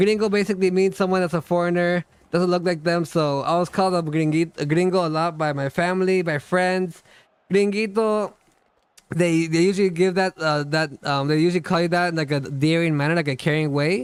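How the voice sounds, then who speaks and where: At a fairly quick pace, a man speaks in a high pitch with very even loudness. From South America. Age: 30s. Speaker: gaming streamer. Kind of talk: live stream Q&A chat. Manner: fast when excited, sometimes stutters; slurs some words.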